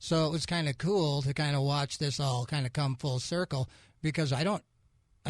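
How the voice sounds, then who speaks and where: The recording is very clean, with a silent background. A man sounds somewhat breathy at a fairly quick pace. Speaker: radio host. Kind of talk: radio interview, casual conversation.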